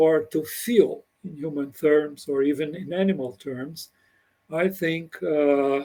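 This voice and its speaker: In a Brazilian Portuguese accent, the speaker goes at a very slow pace with a dark, mellow tone. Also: man, fairly high pitch for a man, ordinary pitch variation, big swings in loudness. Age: 80s+. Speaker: computer scientist. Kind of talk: interview conversation. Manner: halting.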